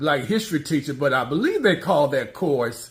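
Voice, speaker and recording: Somewhat breathy, a man with fairly high pitch speaks with lively intonation. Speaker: interviewer. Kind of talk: interview questions.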